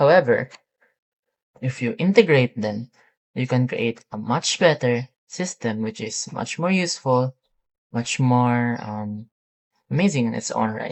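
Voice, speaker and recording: The speaker has a non-native accent and talks at a fairly slow pace with long, frequent pauses. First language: not English. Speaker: student demonstrating a software project. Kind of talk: software tutorial demo. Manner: halting, many fillers.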